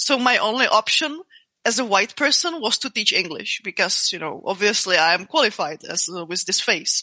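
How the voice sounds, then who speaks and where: A woman with a non-native accent and fairly high pitch speaks at a moderate pace with very wide pitch swings, the sound dry and close with no echo. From Czech Republic. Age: 30s. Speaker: martial artist and MMA fighter. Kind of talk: interview conversation. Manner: halting, many repeated words and fillers.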